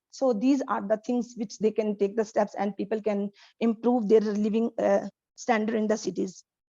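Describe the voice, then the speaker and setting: A woman's fairly high, dark, mellow voice in a monotone, flat delivery at a moderate pace, dry and close with no echo. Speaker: English learner. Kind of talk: speaking practice answer. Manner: halting, many fillers.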